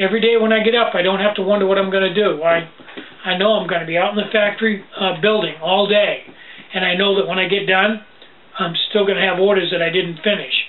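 A man speaks fairly quickly at a high pitch, with very even loudness and a monotone, flat intonation over light background noise. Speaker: small business owner vlogger. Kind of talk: casual vlog chat. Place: home room. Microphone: webcam.

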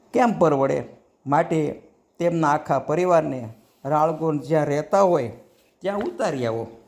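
A man speaks in an unremarkable speaking voice with fairly high pitch and lively intonation. The recording is very clean, with a silent background. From Saurashtra, Gujarat (Bhavnagar area). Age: 60s. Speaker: devotional storyteller. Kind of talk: devotional anecdote narration. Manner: formal.

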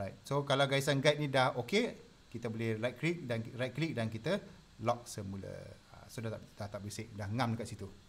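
Here a man talks at a moderate pace with ordinary pitch variation. His voice is somewhat breathy. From Malaysia. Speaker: design tutor. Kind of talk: live tutorial. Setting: live stream. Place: home room.

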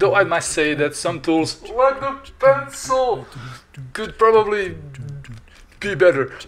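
A man speaks at a fairly slow pace, his pitch swinging very widely over noticeable background noise. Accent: non-native. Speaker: digital artist and tutorial maker. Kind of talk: software tutorial narration. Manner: playful, humorous.

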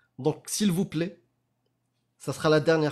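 A man with a fairly high pitch, ordinary pitch variation and a fairly slow pace against a quiet background. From Morocco. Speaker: apostate activist and spokesperson; spokesperson. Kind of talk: casual live discussion. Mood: earnest, pleading. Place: home room.

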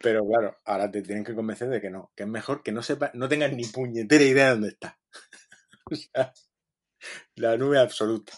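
His speech comes at a fairly quick pace with long, frequent pauses and big swings in loudness. The man has a medium pitch and fairly even intonation. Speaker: podcast co-host, software developer. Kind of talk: casual chat.

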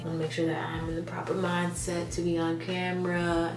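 Speech at a moderate pace plays with clear music in the background. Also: woman. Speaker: content creator. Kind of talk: casual vlog chat. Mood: excited, upbeat. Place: bathroom. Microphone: phone near.

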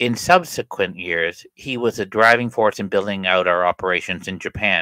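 A man's fairly low voice comes through with a bright, sharp tone, a dry sound with no echo, and a quiet background. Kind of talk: reading of a written obituary. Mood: somber, respectful. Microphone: studio mic.

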